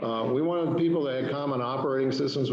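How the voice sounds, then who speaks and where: A man speaks with ordinary pitch variation. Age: 60s. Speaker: hospital system executive. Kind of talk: presentation to a civic club. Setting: club meeting. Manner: hesitant, many fillers.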